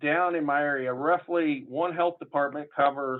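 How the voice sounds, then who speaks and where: This man speaks with a southern Illinois accent. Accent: southern Illinois accent, far from Chicago. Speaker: public health official. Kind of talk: conference panel talk. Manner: casual, halting with fillers.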